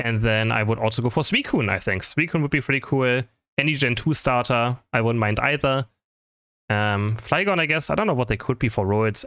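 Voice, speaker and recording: A man mumbles at a medium pitch with a non-native accent. The recording is very clean, with a silent background. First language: not English. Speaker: gaming content creator and caster. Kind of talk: casual Q&A chat. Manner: fast; mumbling.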